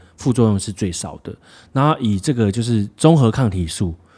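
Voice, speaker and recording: A man speaks in a normal speaking voice, fairly low in pitch, at a moderate pace with lively intonation. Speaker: podcast co-host. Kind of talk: casual chat.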